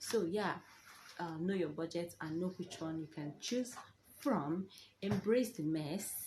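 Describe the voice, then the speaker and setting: Her intonation lively and her tone dark and mellow, a woman speaks somewhat breathily at a fairly slow pace with long, frequent pauses. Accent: Nigerian. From Nigeria. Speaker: vlogger, new mother. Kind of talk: casual advice vlog. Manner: animated.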